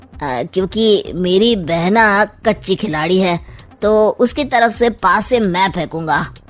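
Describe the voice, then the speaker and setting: At a very slow pace, a woman speaks in a cartoonish character voice. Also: medium pitch for a woman. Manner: sly, sarcastic.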